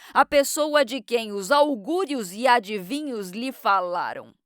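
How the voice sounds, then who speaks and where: A booming, put-on character voice at a fairly slow pace, dry and close with no echo. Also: woman. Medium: read story. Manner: booming, imperious.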